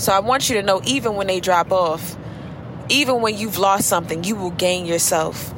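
A woman speaks at a fairly quick pace with a warm, animated tone and a medium pitch. Her pitch variation is ordinary, and noticeable background noise is present. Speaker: beauty professional podcaster. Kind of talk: pep talk; casual chat. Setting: in a car while driving. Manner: warm, animated, preacher-like encouragement; unscripted, conversational, chatty.

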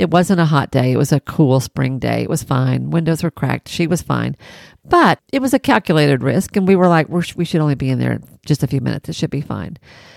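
Talking at a very fast pace in a Southern US accent, a woman sounds animated, and the sound is dry and close with no echo. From Tennessee. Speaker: podcast host, private practice business coach. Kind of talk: solo podcast monologue with storytelling. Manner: animated, laughing often.

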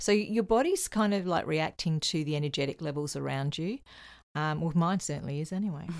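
Fairly quick speech from a woman in a normal speaking voice, fairly low in pitch with ordinary pitch variation, on a very clean recording with a silent background. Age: 50s. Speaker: psychic medium and spiritual teacher. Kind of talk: casual chat.

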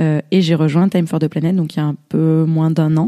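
A woman at a moderate pace, fairly low in pitch with a dark, mellow tone, in a dry, close sound with no echo. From southern France, Drôme. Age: 30s. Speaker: startup co-founder. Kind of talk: interview.

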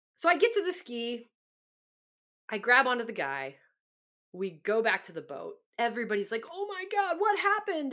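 A woman with a Californian accent, high in pitch and animated in tone, with very wide pitch swings at a moderate pace. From Southern California. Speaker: podcast host, former pro surfer. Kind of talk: storytelling monologue.

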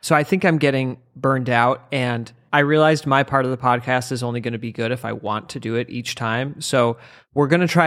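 An unremarkable speaking voice: a man at medium pitch, fairly quick pace, fairly even intonation. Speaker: comedian podcast co-host. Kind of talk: casual comedic banter about a book. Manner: joking, laughs often.

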